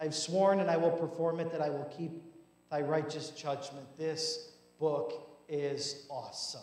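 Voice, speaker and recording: With audible room echo, a man speaks at a fairly slow pace in a monotone, flat way. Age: 30s. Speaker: pastor. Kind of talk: sermon. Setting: church. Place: church.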